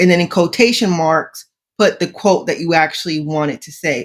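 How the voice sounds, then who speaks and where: The woman's voice sits at medium pitch with ordinary pitch variation. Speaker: AI news podcast co-host. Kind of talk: casual chat. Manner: excited, tripping over words.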